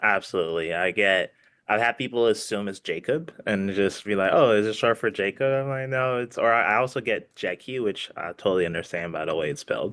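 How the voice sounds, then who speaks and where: A man with a fairly low voice talks at a fairly quick clip with hardly any pauses and ordinary pitch variation, on a very clean recording with a silent background. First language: not English. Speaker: comic book content creator. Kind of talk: casual chat. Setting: live stream.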